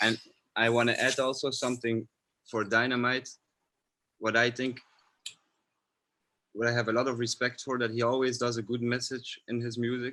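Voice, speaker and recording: Here a man with a non-native accent speaks at a moderate pace and medium pitch, with long, frequent pauses. His tone is bright and sharp, his intonation monotone and flat. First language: not English. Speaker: filmmaker. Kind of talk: panel discussion.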